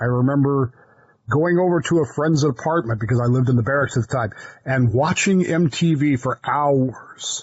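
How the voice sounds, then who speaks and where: A man speaks with a somewhat breathy voice at a very even loudness. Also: fairly high pitch for a man, ordinary pitch variation, moderate pace. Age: 60s. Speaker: podcast co-host. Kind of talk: casual chat. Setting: studio. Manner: animated.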